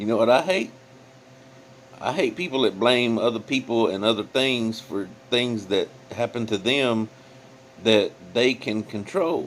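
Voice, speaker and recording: Over noticeable background noise, a man of medium pitch talks at a fairly slow pace with ordinary pitch variation and long, frequent pauses. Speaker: YouTube commentator. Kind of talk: reaction commentary. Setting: in bed at home. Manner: casual, hesitant with fillers.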